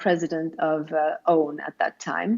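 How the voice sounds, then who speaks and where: The speaker has a Swedish accent. The pace is moderate. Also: woman. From Sweden. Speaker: self-help writer. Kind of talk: interview.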